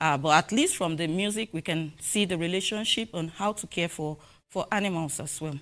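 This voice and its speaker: Speaking at a fairly quick pace, a woman uses a fairly low pitch with ordinary variation. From Nigeria, southwest (Yoruba). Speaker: animal welfare researcher. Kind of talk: conference presentation. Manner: halting, with frequent fillers.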